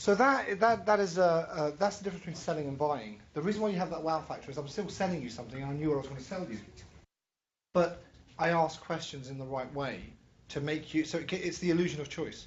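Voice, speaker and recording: Someone talks at a very fast pace. The speech comes in a London accent. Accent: European (London). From London, England. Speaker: entrepreneur and business educator, angel investor. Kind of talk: workshop lecture.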